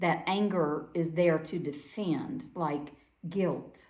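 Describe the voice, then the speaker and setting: In a room with audible echo, a woman with a Southern US accent speaks in a fairly low voice. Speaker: Quaker speaker. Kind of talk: sermon.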